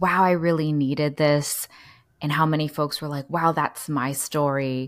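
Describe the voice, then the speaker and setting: With an American accent, a woman talks at a very deep, low pitch. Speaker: social worker podcast co-host. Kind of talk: casual chat between co-hosts.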